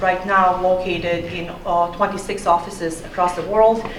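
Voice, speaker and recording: Over noticeable background noise and audible room echo, a woman with a non-native accent talks at a medium pitch in a monotone, flat intonation. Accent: foreign. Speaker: architecture professor. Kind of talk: panel talk. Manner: hesitant with fillers.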